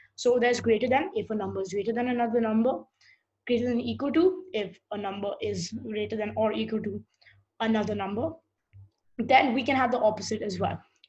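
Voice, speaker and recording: Vocal fry runs through speech that carries ordinary pitch variation. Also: woman, fairly high pitch for a woman. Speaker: programming teacher. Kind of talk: lecture. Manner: halting; fast.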